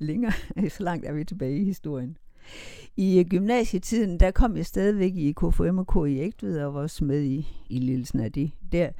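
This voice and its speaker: A woman with a dark, mellow tone talks in a fairly low pitch at a moderate pace. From Denmark, Kolding-Vejle area, rural Jutland. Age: 70s. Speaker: interviewee telling life story. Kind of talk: life story interview. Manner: hesitant, many fillers.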